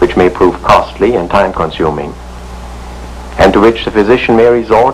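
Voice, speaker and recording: Noticeable background noise fills the recording. The man talks at a moderate pace. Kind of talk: educational film narration.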